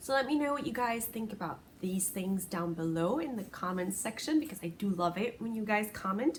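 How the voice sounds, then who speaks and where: A woman's fairly high voice at a fairly quick pace, hardly any pauses, over noticeable background noise. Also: lively intonation. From Puerto Rico. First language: Spanish. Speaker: crochet podcaster. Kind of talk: casual podcast chat.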